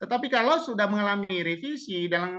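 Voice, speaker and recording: A raised, projected voice with a bright, sharp tone moves through very wide pitch swings. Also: man. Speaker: webinar speaker on textbook writing. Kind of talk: webinar Q&A answer. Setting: online webinar. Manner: fast.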